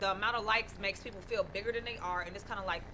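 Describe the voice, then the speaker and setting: A woman with an American accent speaks at a very fast pace in an animated tone, with noticeable background noise. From northern US. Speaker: radio co-host. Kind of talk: casual chat.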